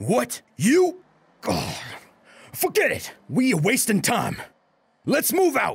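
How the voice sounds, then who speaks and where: A loud, gruff, put-on character voice with a fairly high pitch moves at a fairly slow pace, broken by long, frequent pauses. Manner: loud, gruff, bossy.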